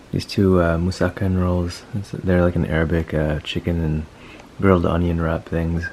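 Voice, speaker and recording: A man's very deep, low voice in a monotone, flat intonation, over noticeable background noise. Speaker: medical student vlogger. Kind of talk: casual vlog talk.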